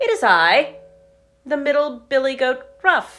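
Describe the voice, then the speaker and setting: A female-sounding voice in a put-on character voice is raised and projected at a high pitch for a woman. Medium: read story.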